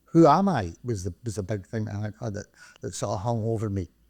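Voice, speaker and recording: Very fast and dark, mellow in tone, a man with a Glaswegian accent is captured in a very clean recording with a silent background. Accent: Glaswegian Scottish. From Scotland, Glasgow (Springburn). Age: 60s. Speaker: retired credit union chief executive. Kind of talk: podcast interview. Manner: halting, with repetitions.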